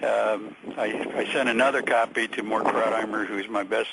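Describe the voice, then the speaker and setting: Over noticeable background noise, the speaker talks at a moderate pace in a flat, monotone way. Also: man. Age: 60s. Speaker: caller, equities businessman. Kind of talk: radio call-in conversation. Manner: halting, many fillers.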